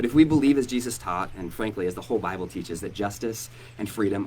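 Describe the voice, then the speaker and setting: In an American accent, a man speaks at a very fast pace with lively intonation and audible room echo. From Oregon, US Northwest. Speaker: pastor. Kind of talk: hosted live interview event. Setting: church hall with live audience.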